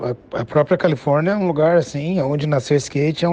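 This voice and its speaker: A man speaks at a fairly quick pace with ordinary pitch variation in a plain, everyday voice. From Brazil, Curitiba. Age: 40s. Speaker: professional skateboarder. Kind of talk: casual interview.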